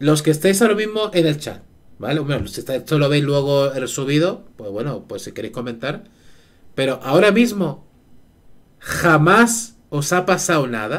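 This man's loudness swings in big jumps and his pitch swings very widely. He keeps a fairly slow pace. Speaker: live streamer. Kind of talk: casual stream chat. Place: home room. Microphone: headset.

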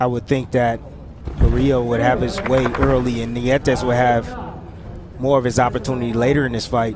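A man speaks at a moderate pace and medium pitch, with monotone, flat intonation. Noticeable background noise is present. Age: 30s. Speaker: boxing analyst, former fighter. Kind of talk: live commentary.

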